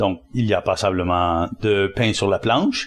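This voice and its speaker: On a very clean recording with a silent background, a man speaks. His pitch is fairly low. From Quebec. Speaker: spiritual teacher and author. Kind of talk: interview conversation.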